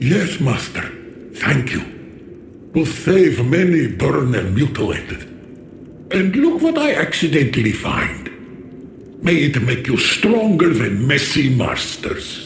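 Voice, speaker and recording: A man puts on a character voice at a fairly high pitch, taking long, frequent pauses over clear background noise. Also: fairly slow pace. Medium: video game. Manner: broken grammar, keeps saying "Master".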